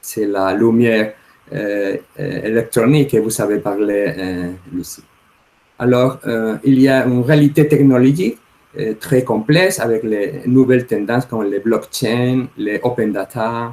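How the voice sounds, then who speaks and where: Speaking with a Spanish accent, a man has a medium pitch and a dark, mellow tone. His pace is fairly slow, and his pitch varies in an ordinary way. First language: Spanish (speaking French). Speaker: law professor. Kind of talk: conference talk. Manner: halting, many hesitations.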